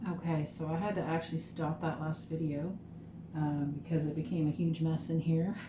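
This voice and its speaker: A woman's very deep, low voice, monotone and flat, at a moderate pace and very even loudness, over noticeable background noise. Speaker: small business owner making lip gloss. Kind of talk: casual vlog tutorial. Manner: casual with fillers. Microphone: muffled by mask.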